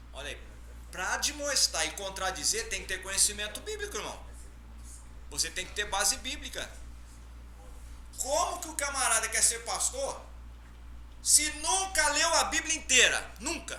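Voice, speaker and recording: A man talks at a moderate pace with long, frequent pauses and big swings in loudness. Audible room echo and noticeable background noise fill the recording. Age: 60s. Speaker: theology teacher and pastor. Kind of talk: lecture. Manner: animated.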